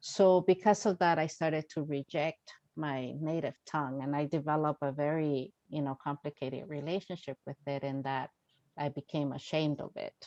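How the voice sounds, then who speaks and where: Very deep and low, a woman's voice carries a dark, mellow tone with fairly even intonation at a moderate pace. The sound is dry and close with no echo, over a quiet background. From Mexico, raised in Los Angeles. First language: Spanish. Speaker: author. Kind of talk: virtual Q&A talk. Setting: video call.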